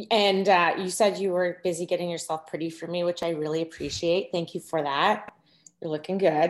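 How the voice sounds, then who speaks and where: A woman's fairly low voice, warm and enthusiastic in tone, at a fairly quick pace. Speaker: podcast host. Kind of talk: casual interview. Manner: warm, enthusiastic.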